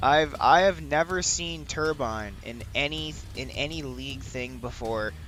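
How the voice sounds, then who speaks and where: A man talks at a fairly slow pace while music plays in the background. His loudness swings widely. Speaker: esports caster. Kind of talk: live commentary. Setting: livestream. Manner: halting.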